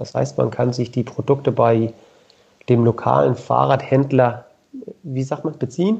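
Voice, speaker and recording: Fairly slow and broken by long, frequent pauses, a man's medium-pitched voice shows ordinary pitch variation. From southern Denmark. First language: Danish (speaking German). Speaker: sponsorship liaison at a bike component company. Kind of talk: interview. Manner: hesitant, many fillers.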